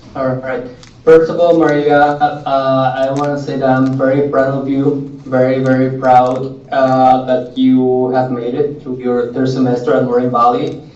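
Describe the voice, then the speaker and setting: With hardly any pauses, a man of medium pitch speaks at a fairly slow pace in a monotone, flat intonation, with audible room echo and noticeable background noise. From Mexico, Jalisco. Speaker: author. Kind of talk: classroom Q&A talk. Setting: classroom with students.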